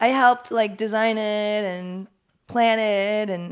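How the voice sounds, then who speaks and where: With an American accent, a woman speaks in a normal speaking voice, her fairly high pitch held to fairly even intonation. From Los Angeles, San Fernando Valley. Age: 30s. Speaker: artist and small business owner. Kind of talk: casual chat.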